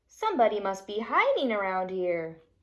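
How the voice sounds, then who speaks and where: A woman performs a put-on character voice. She speaks at a moderate pace. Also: medium pitch for a woman, ordinary pitch variation. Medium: read story.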